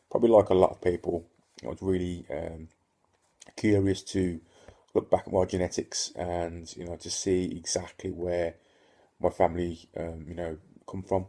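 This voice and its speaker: A man speaks with a very deep, low pitch and a dark, mellow tone, his intonation flat and monotone. His loudness swings widely, and he leaves long, frequent pauses. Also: moderate pace. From Northern Ireland (Ulster). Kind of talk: casual talk to camera. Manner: hesitant, many fillers.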